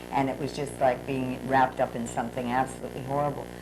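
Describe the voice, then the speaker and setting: A woman speaks at a fairly quick pace. Audible room echo is present. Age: 60s. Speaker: pastor. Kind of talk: testimony.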